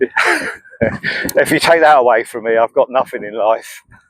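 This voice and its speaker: The man speaks at a fairly slow pace. The sound is dry and close, with no echo. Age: 60s. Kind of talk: casual talk to camera. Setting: outdoors. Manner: hesitant, conversational.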